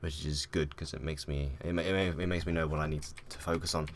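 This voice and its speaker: A man speaks quietly. His pace is fairly quick. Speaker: gaming YouTuber. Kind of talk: casual vlog talk. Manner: hesitant, many fillers.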